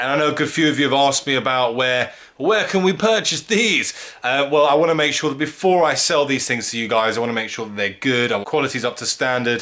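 Delivery comes at a very fast pace. The intonation is lively. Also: man. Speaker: car vlogger. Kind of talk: casual vlog chat. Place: home room. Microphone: phone near.

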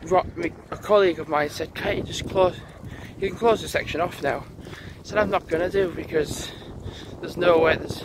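There is noticeable background noise as a man talks at a moderate pace with ordinary pitch variation in a dry sound with no echo. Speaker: vlogger. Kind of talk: casual vlog chat. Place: open country. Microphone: phone near.

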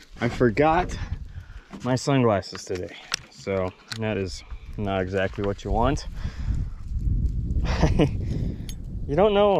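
A man with a fairly low pitch speaks at a very slow pace, with long, frequent pauses and lively intonation. The sound is dry with no echo, though there is noticeable background noise. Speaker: fishing vlogger. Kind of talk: casual vlog chat. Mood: upbeat, excited. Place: boat. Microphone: phone near.

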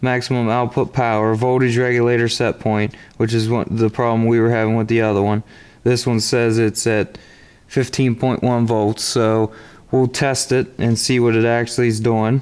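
A man speaks at a moderate pace in a monotone, flat intonation. His loudness stays very even. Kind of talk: tutorial. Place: garage.

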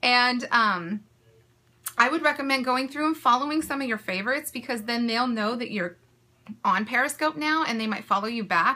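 A woman with a bright, sharp tone talks at a fairly quick pace with lively intonation. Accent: American. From US West Coast, California. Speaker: small business owner and social media creator. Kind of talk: live-streamed tutorial. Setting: live video broadcast from home. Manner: fast talker; enthusiastic, chatty. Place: home room. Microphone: phone near.

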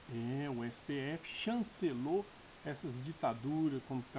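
A man speaks at a medium pitch with a dark, mellow tone and a somewhat breathy quality. Noticeable background noise is present. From Brazil, Minas Gerais. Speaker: political YouTuber. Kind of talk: political commentary monologue. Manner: halting, many fillers. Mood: indignant, critical. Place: home room. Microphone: webcam.

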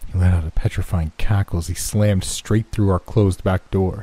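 Someone does plain reading aloud.

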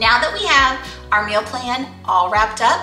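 A woman speaks at a fairly slow pace, with clear music in the background and audible room echo. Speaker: lifestyle channel host. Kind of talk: casual vlog chat. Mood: friendly, upbeat. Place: kitchen.

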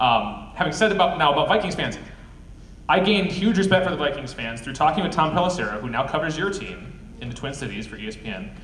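A man with an American accent talks at a very fast pace in a fairly high pitch, his pitch swinging very widely and his loudness rising and falling sharply, with audible room echo and light background noise. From Wisconsin. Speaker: filmmaker and panel moderator; panel moderator. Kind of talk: panel discussion. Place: hall. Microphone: camera far.

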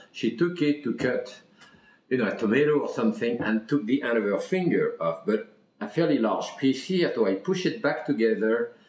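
The speaker talks at a fairly quick pace, with audible room echo. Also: man. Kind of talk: interview answer. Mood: warm, fond storytelling. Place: kitchen. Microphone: camera far.

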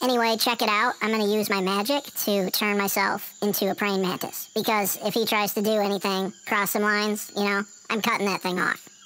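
A female-sounding, cartoonish character voice at medium pitch moves along at a moderate pace. Clear background noise is present. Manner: casual, exasperated.

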